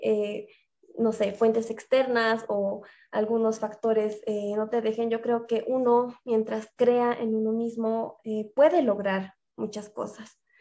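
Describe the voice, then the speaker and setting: With a Bolivian accent, a woman speaks very slowly in a dark, mellow tone at a fairly high pitch, her intonation monotone and flat. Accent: Bolivian Spanish (La Paz). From Bolivia, La Paz. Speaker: fitness influencer. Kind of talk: interview.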